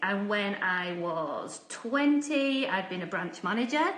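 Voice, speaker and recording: There is audible room echo and noticeable background noise. Over it, a woman speaks with lively intonation. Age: 40s. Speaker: housing association chief executive. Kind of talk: personal career talk. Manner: casual, conversational with fillers.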